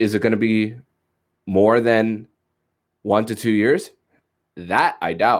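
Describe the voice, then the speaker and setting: Speaking very slowly with long, frequent pauses, a man keeps his medium-pitched voice fairly even in intonation. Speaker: sports podcast host. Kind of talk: casual sports commentary. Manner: halting, many fillers.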